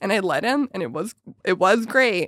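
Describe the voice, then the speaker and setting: This is a woman speaking. Her voice has vocal fry. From Calgary, Canada. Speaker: podcast host and stand-up comedian. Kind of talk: casual chat. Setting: studio.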